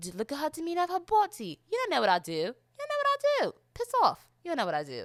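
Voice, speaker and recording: Bright and sharp in tone, a voice with a British accent speaks at a very fast pace in a dry, close sound with no echo. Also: woman. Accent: put-on British accent over American. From South Florida. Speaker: podcast host. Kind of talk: casual solo podcast monologue. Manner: loud, outgoing.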